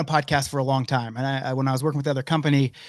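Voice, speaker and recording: Against a quiet background, a man talks. His pace is very fast. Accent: American. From Oklahoma, US. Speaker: hockey league organizer. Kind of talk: podcast interview.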